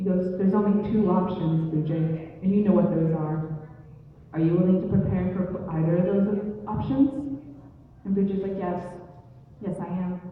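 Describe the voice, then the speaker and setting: At a medium pitch, a woman talks at a moderate pace with ordinary pitch variation while noticeable background noise plays. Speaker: storyteller. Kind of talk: live oral storytelling. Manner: casual, conversational.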